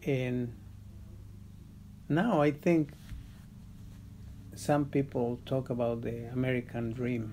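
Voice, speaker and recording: With a Spanish accent, a man speaks very slowly in a medium-pitched, dark, mellow voice, his intonation fairly even and his pauses long and frequent. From Mexico. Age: old. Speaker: grandfather interviewed for documentary. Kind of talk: interview testimony. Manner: halting, with repetitions and fillers.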